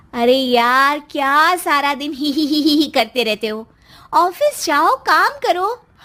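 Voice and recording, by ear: In a put-on character voice, a woman speaks slowly at a high pitch, her tone bright and sharp and her intonation lively.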